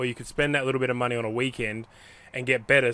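A man with an Australian accent, very fast, at a medium pitch, with fairly even intonation. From Western Australia. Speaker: podcast host. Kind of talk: scripted narration; casual chat. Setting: in a van.

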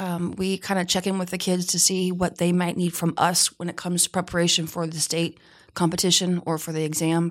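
A woman with a normal speaking voice talks fairly quickly at a fairly low pitch, with hardly any pauses. Her recording is very clean, with a silent background. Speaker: teacher, Skills club advisor. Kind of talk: casual interview chat. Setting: studio.

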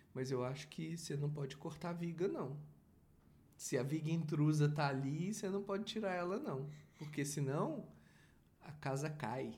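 Somewhat breathy speech at a moderate pace, with ordinary pitch variation, long, frequent pauses and audible room echo. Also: man, fairly high pitch for a man. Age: 40s. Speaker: father and podcast host. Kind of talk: casual chat.

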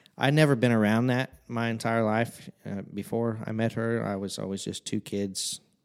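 Speaking with a Midwestern American accent, a man at medium pitch keeps his intonation fairly even, moving at a moderate pace with hardly any pauses. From Southern Illinois, Fairfield. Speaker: worship leader. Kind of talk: casual chat.

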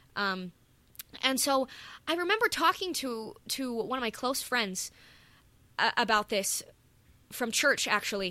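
On a very clean recording with a silent background, a woman with a high pitch and a bright, sharp tone talks at a fairly slow pace, making very wide pitch swings and long, frequent pauses. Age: 20s. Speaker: podcast co-host, music student. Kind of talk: casual chat.

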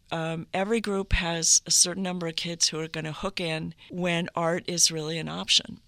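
In a very clean recording with a silent background, a woman speaks with an American accent at a fairly low pitch. Her tone is bright and sharp, her intonation monotone and flat, and her loudness swings widely. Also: moderate pace. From northern Minnesota (Duluth). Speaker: abstract painter and art educator. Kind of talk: interview.

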